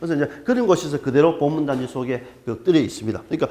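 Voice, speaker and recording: With noticeable background noise behind him, a man speaks very fast at a fairly high pitch with very wide pitch swings. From Gyeongsang region, South Korea. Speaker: archaeologist lecturer. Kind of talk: lecture. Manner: hesitant, filler-heavy.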